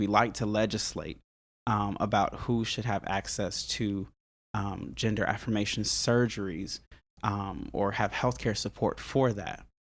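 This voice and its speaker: Vocal fry runs through speech delivered at a fairly slow pace with fairly even intonation. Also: man. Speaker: musician and church member. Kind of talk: casual interview conversation. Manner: thoughtful, hesitant, repeats words.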